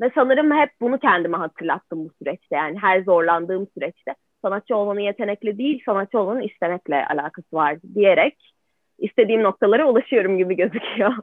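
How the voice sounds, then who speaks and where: Using a plain, everyday voice, a woman speaks at a fairly quick pace with medium pitch and lively intonation. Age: 20s. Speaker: art student. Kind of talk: interview.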